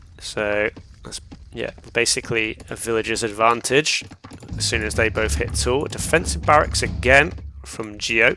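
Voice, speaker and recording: A medium-pitched male voice with very wide pitch swings over noticeable background noise. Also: moderate pace. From southern England, raised partly in northern England. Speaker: esports caster. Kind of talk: live commentary.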